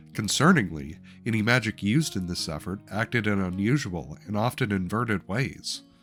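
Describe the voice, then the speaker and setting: Music plays in the background as the speaker talks with lively intonation. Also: man. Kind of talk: campaign recap narration.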